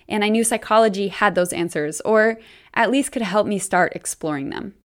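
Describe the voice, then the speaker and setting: A woman with an American accent speaks in an ordinary speaking voice at a moderate pace. Her fairly high pitch shows ordinary pitch variation, and the recording is very clean with a silent background. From US Northeast, Boston suburbs. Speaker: podcast host. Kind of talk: personal storytelling monologue.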